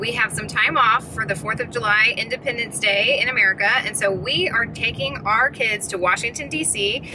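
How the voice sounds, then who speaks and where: Amid noticeable background noise, a woman talks at a fairly quick pace with hardly any pauses, in a dry sound with no echo. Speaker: parent vlogger. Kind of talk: casual vlog chat. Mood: cheerful, excited. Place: car. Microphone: phone near.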